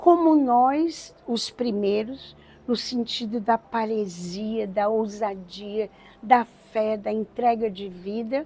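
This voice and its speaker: At a very slow pace, a woman talks with a dark, mellow tone, fairly high pitch, and ordinary pitch variation. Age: 70s. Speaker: religious community co-founder. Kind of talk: testimony.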